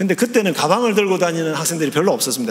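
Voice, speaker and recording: A man talks in a high-pitched voice. Audible room echo and noticeable background noise surround him. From Gyeongsang province, South Korea. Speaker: theology professor, guest preacher. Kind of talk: sermon. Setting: church.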